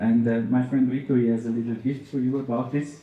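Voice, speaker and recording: A man with a medium pitch speaks in a dark, mellow, somewhat breathy tone. His intonation is fairly even, and the room echo is audible. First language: not English. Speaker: audience member asking a question. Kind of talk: audience question, prepared reading.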